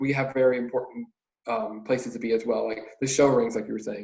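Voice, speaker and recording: A man with an American accent talks at a fairly quick pace and medium pitch. His is an unremarkable speaking voice, with fairly even intonation. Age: young. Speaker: college student, youth organization officer. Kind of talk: casual podcast interview.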